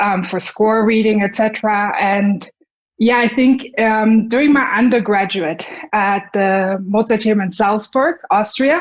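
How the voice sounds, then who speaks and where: With a German accent, a woman with a fairly high pitch speaks at a fairly slow pace. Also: ordinary pitch variation. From Germany, Munich. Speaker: violinist and conductor. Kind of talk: interview.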